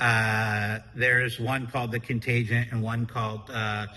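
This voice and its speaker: This man speaks loudly in a fairly low pitch at a fairly slow pace. His tone is bright and sharp, and his intonation is monotone and flat. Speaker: podcast co-host and business owner. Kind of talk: casual chat.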